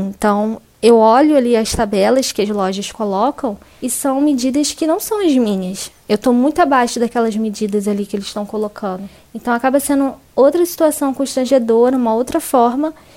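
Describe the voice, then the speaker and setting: With a dark, mellow tone and a high pitch, a woman speaks at a moderate pace with ordinary pitch variation. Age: 20s. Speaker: journalist. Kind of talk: testimony.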